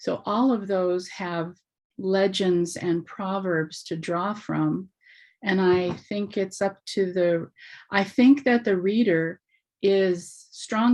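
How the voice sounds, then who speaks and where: A woman with an American accent speaks very slowly against a quiet background. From Alaska. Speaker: workshop participant. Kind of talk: workshop Q&A discussion.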